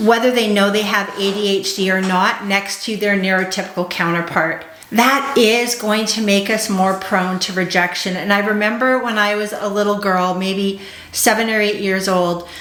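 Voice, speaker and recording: A woman talks at medium pitch and a moderate pace, her intonation fairly even. Noticeable background noise and audible room echo surround her. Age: 40s. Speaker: ADHD coach. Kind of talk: vlog monologue.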